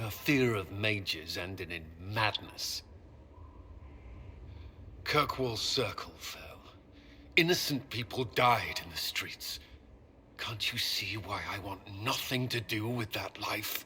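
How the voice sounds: Using a put-on character voice, a man speaks slowly with long, frequent pauses, his fairly low pitch, bright, sharp tone and lively intonation all part of the act.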